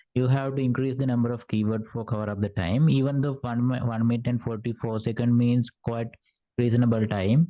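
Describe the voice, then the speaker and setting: Using an unremarkable speaking voice, a man talks at a fairly quick pace, with medium pitch and fairly even intonation. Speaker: IELTS speaking tutor. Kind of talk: feedback on speaking practice. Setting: online session.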